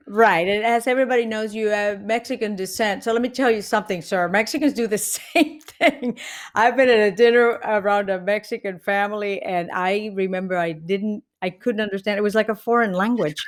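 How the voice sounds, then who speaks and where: The recording is very clean, with a silent background. A woman with a Puerto Rican accent speaks at a fairly quick pace. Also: fairly high pitch for a woman, ordinary pitch variation. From Puerto Rico, Carolina. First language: Spanish. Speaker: comedian. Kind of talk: podcast interview. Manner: animated.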